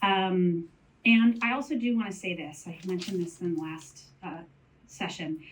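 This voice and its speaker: Somewhat breathy, a woman talks with typical rises and falls in pitch. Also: medium pitch for a woman, moderate pace. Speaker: panelist on mental health in menopause. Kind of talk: panel talk.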